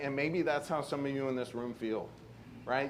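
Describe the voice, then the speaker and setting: The voice is a man's, fairly high in pitch, with fairly even intonation. Audible room echo can be heard. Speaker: conference panel speaker. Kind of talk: conference presentation. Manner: fast.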